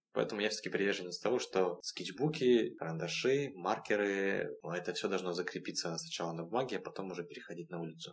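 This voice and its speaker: With a plain, everyday voice, a man talks at a fairly quick pace, his fairly low pitch moving with lively intonation. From Russian Far East, Vladivostok. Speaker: graffiti artist. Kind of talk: interview conversation.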